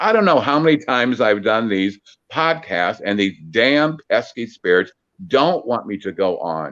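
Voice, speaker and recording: With an American accent and vocal fry, a man speaks at medium pitch and a fairly slow pace. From US Midwest, Peoria, Illinois. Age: 60s. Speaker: psychic medium. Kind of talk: interview. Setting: phone call. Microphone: on phone, cutting in and out, mic covered by hand.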